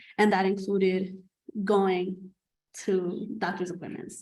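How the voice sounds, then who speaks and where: In a non-native accent, a woman speaks at a medium pitch with monotone, flat intonation. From New York City. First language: not English. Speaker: nursing student. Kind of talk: panel discussion.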